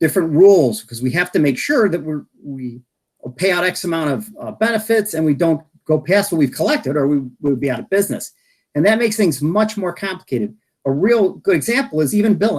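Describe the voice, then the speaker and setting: Talking at a fairly quick pace, a man with an American accent uses a high pitch and very wide pitch swings. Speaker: health insurance industry expert. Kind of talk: presentation at online meeting. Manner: fast; mumbling.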